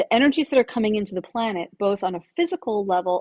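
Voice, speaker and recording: The intonation is lively. The pace is very fast. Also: woman. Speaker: podcast host and spiritual coach. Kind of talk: solo spiritual guidance talk.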